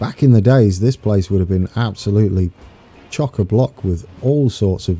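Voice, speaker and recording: A man's fairly low voice at a fairly slow pace, with ordinary pitch variation and music in the background. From eastern England, Peterborough. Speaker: video game streamer. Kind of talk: live stream gameplay commentary. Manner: casual, chatty.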